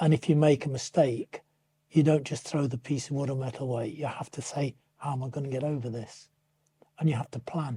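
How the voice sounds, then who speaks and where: In a dry, close recording with no echo, a man with a fairly high pitch speaks in a dark, mellow tone that is somewhat breathy. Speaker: retired teacher. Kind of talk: interview answer.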